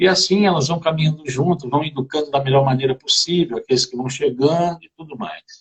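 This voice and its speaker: A man with a plain, everyday voice speaks at a moderate pace in a fairly high pitch, with ordinary pitch variation. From Brazil, Rio de Janeiro (Campo Grande). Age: 60s. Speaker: therapist guest on a live stream. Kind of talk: live stream conversation about family. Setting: online live video stream.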